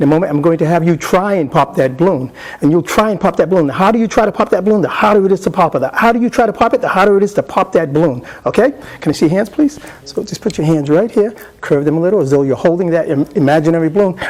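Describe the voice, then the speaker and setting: A man with a high pitch speaks at a very fast pace with lively intonation. Noticeable background noise runs underneath. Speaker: hypnotist presenter. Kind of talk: live hypnosis induction demonstration; workshop lecture explaining technique. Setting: convention stage with live audience.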